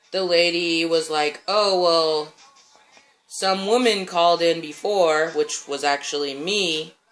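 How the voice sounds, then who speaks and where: Over music in the background, a man with a high voice talks at a very slow pace with fairly even intonation. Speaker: vlogger. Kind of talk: casual vlog update.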